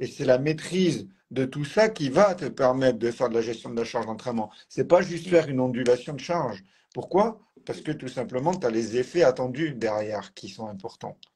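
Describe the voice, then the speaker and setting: A man speaks at a medium pitch and a fairly quick pace, his voice somewhat breathy. His intonation is lively and his loudness swings widely. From southern France, Tarn near Toulouse. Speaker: physiotherapist and trainer. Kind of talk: casual interview.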